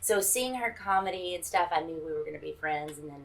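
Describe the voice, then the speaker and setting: With a Southern US accent, a woman talks fairly quickly at a medium pitch, with ordinary pitch variation. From Mississippi, US South. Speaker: stand-up comedian. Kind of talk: stand-up routine; casual interview chat.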